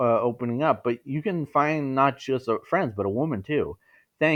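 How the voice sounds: Against a quiet background, someone reads aloud in a natural voice.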